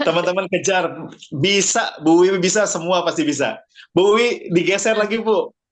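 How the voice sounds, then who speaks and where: A man with a high voice speaks at a moderate pace in an animated tone, keeping his loudness very even. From Bandung, West Java, Indonesia. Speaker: business presenter and coach. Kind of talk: online business presentation.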